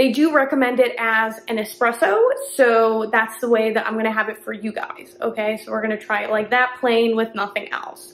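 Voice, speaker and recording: The speaker goes at a fairly quick pace in a monotone, flat intonation over light background noise. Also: woman. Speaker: coffee content creator. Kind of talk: casual vlog chat. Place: kitchen. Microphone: phone near.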